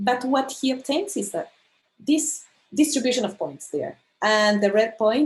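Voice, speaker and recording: Somewhat breathy speech at a fairly slow pace. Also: woman. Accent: Spanish. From Argentina. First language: Spanish. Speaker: astronomer. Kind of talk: lecture. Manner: halting.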